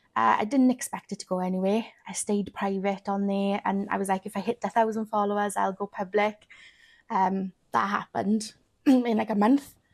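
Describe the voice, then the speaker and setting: The voice belongs to a woman with a medium pitch and fairly even intonation. It is a very clean recording with a silent background, dry and close with no echo. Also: moderate pace. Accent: Welsh. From Wales. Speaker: weight loss content creator. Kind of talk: podcast interview.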